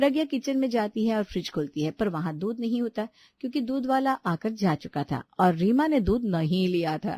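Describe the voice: Lively intonation marks this woman's speech. Her tone is dark and mellow, and her pace is fairly quick. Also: medium pitch for a woman, dry, close sound with no echo.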